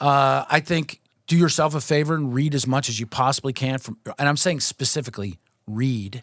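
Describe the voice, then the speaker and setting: A man with an American accent speaks at a moderate pace and a fairly high pitch, with ordinary pitch variation. The recording is very clean, with a silent background and a dry, close sound with no echo. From Pittsburgh, western Pennsylvania. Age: 50s. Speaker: news executive and former sports writer. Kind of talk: casual interview chat. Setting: podcast studio. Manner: halting, many fillers.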